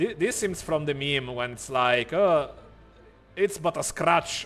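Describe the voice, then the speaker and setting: Here a man talks at a fairly slow pace. His fairly high voice has lively intonation. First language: not English. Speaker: streamer. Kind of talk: live stream gameplay chat. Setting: live stream. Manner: animated.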